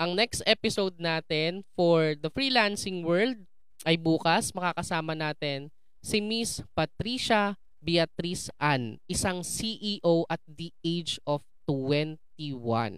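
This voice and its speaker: A woman's fairly low voice, very slow in pace, with lively intonation. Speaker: podcast host. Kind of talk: interview. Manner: animated.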